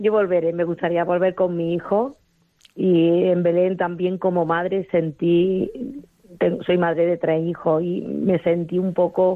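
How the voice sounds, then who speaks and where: This woman speaks at a fairly slow pace in a fairly low pitch, her intonation monotone and flat and her loudness very even. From Andalusia, Spain (Arjonilla, Jaén). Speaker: pilgrim. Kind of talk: phone testimony. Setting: phone call.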